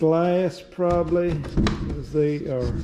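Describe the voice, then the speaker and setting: Noticeable background noise runs under the voice. The speaking pace is very slow. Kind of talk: casual vlog chat. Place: workshop. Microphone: phone near.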